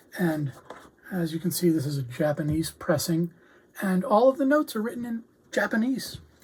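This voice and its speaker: Pausing long and often, a woman with a fairly low pitch speaks at a moderate pace, her pitch swinging very widely over noticeable background noise. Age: 60s. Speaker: music reviewer. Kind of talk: casual video review. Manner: relaxed with many fillers.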